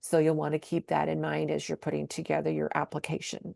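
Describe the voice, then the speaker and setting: A woman is heard in a dry, close sound with no echo, over a quiet background. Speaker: state program coordinator. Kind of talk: webinar presentation. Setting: online webinar. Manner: fast.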